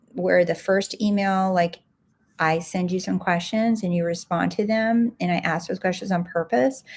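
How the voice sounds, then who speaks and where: A woman's medium-pitched, somewhat breathy voice shows ordinary pitch variation. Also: moderate pace. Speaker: life coach and podcast host. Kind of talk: live stream talk. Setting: livestream, home recording. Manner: soft-spoken.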